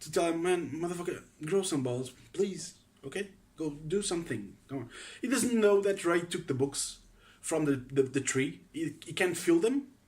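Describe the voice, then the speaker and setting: A man with a Portuguese accent, high pitch, lively intonation and a moderate pace. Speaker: film fan vlogger. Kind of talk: casual opinion monologue. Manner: halting, many fillers.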